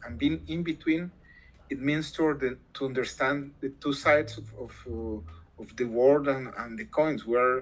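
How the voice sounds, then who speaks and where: Lively in intonation, a man with a Spanish accent speaks at a fairly slow pace in a medium pitch, with big swings in loudness. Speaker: academic interviewee on language rights. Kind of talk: interview. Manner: halting, many fillers.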